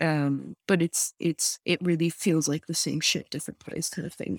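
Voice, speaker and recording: A woman with a Lebanese accent talks at a fairly quick pace and a fairly low pitch in a monotone, flat intonation, on a very clean recording with a silent background and a dry, close sound with no echo. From Lebanon. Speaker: graphic designer and activist. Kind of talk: casual interview. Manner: halting, many fillers and repeats.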